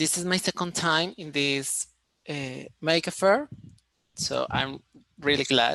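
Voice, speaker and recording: A man talks at a very slow pace, leaving long, frequent pauses. His tone is bright and sharp. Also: fairly high pitch for a man, ordinary pitch variation. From Colombia, Cali. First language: Spanish. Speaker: engineering student presenter. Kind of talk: online conference presentation. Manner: halting, with many fillers.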